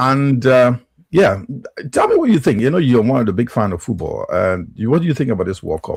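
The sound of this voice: Fairly low in pitch with vocal fry and a slightly husky edge, a man talks at a fairly quick pace with big pitch swings.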